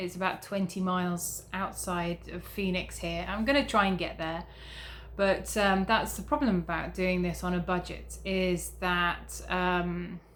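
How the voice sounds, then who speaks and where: The speaker talks at a fairly slow pace with a British accent. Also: woman. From Britain. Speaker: travel vlogger. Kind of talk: casual vlog. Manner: hesitant with many fillers.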